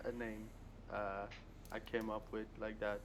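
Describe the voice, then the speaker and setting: A man with a French accent, medium-pitched, at a fairly slow pace with ordinary pitch variation. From Morocco. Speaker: gamer. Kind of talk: casual chat. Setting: video call.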